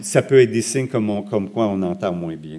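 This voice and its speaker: The voice has a dark, mellow tone. It carries a Quebec accent. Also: man. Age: 60s. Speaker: hearing researcher and lecturer. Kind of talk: lecture. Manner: halting.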